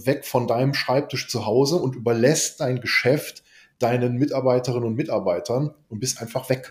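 A somewhat breathy man, medium in pitch, fairly even in intonation, at a moderate pace. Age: 50s. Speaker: business coach. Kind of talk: casual business discussion. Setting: video call.

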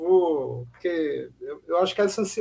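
High pitch from a man, with ordinary rise and fall. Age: 50s. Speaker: historian and author. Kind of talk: casual chat.

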